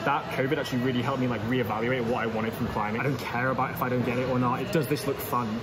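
A man rattles along very fast while clear music is heard behind him. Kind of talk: interview answer. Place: gym. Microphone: phone near.

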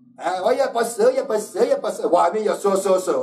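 A man speaks in a Quebec accent with ordinary pitch variation. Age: 50s. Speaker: fitness coach and video host; fitness coach, video host. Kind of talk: casual talk show monologue. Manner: direct, opinionated. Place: studio.

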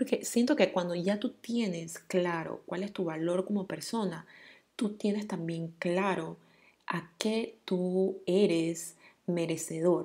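A very clean recording with a silent background captures a woman's dark, mellow tone at medium pitch and a very slow pace. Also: ordinary pitch variation. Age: 30s. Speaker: podcast host. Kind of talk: casual monologue.

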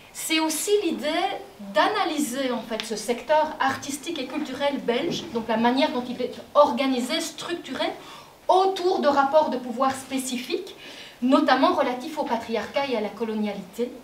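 A woman speaks at a fairly slow pace in a high voice with ordinary pitch variation, with light background noise and audible room echo. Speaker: anthropologist and author, moderator; moderator. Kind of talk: panel moderation. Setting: stage with audience. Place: stage.

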